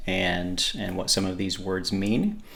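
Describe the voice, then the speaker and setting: Audible room echo surrounds a man's voice. He talks at a fairly slow pace with fairly even intonation. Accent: American. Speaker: podcast host. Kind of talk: casual podcast monologue. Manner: hesitant, many fillers and repeats.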